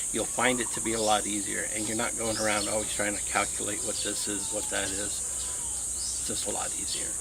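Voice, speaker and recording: Speaking at a moderate pace with an American accent, a man with a fairly low pitch is heard through audible room echo and noticeable background noise. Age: 60s. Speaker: vlogger on retiring abroad. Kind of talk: casual vlog talk. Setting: outdoors by rice fields.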